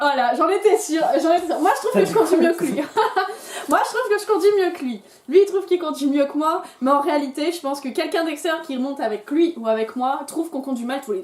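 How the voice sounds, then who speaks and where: A squeaky, extremely high-pitched woman's voice at a very fast pace, with lively intonation, big swings in loudness and noticeable background noise. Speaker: YouTuber. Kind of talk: casual chat.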